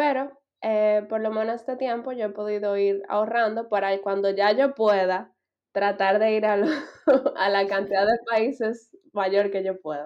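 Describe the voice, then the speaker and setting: A fairly high-pitched woman with a plain, everyday voice speaks. Her pace is fairly slow and her intonation fairly even. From Dominican Republic. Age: 20s. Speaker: master's student. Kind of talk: casual interview chat.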